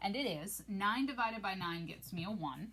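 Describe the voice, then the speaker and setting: This woman's voice has vocal fry and lively intonation, delivered at a moderate pace. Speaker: math teacher. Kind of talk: tutorial. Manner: casual.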